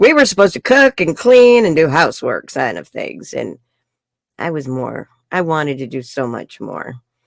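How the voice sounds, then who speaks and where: With vocal fry and a very deep, low pitch, a woman speaks at a moderate pace with very wide pitch swings in a dry, close sound with no echo. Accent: New York. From New York City. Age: 60s. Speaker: life coach. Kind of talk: interview. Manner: animated.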